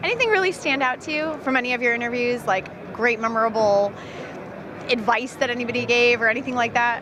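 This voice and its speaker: Amid noticeable background noise, a woman talks at a very fast pace with a high pitch and ordinary pitch variation. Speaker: interviewer, video host. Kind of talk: interview question.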